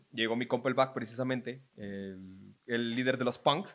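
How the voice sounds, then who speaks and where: A man speaks with a Mexican accent. His pace is fairly quick. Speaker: podcast host. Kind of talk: casual chat. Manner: animated.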